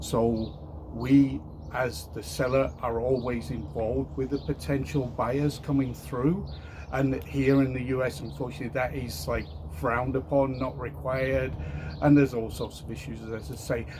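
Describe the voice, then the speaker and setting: With noticeable background noise and audible room echo, a man of medium pitch talks at a moderate pace in very wide pitch swings. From Europe. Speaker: home seller, engineer. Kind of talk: testimonial interview. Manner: hesitant, with fillers.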